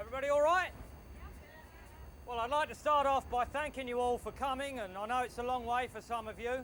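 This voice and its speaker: A man with an English accent and an extremely high pitch talks at a moderate pace with ordinary pitch variation. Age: 40s. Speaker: wall of death rider and showman. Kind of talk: casual explanation to recruits.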